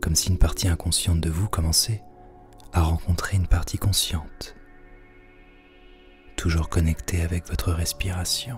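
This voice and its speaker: In a calm, soothing tone with long, frequent pauses, the voice comes over music in the background. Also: man. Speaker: hypnosis practitioner and guided meditation host. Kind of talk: guided hypnosis / relaxation session. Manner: calm, slow, soothing.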